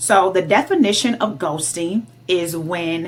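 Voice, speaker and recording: With an American accent and vocal fry, a woman speaks at a fairly slow pace, her fairly low pitch varying in an ordinary way. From Detroit, Michigan. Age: 30s. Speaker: dating vlogger. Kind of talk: casual vlog monologue. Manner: animated.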